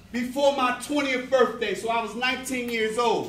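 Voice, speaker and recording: A man with an extremely high pitch speaks at a moderate pace, with audible room echo around him. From US Northeast, North Philadelphia. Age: 60s. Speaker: prison reform minister. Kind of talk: motivational talk to youth. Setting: church hall with youth audience. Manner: earnest, emphatic.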